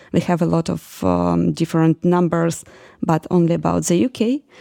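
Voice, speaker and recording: A woman speaks with a Ukrainian accent. The sound is dry and close, with no echo. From Ukraine. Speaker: oceanography student. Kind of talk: interview. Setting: apartment in Glasgow. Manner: halting, many fillers.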